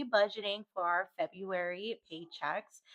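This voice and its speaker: With ordinary pitch variation, the woman's voice sits at a medium pitch. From US Pacific Northwest. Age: 30s. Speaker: budgeting vlogger. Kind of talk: casual screen tutorial. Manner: casual, with frequent fillers.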